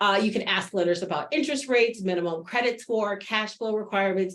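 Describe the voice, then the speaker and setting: The speaker is a woman. Her intonation is lively. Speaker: webinar presenter on small business funding. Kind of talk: webinar presentation. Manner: fast.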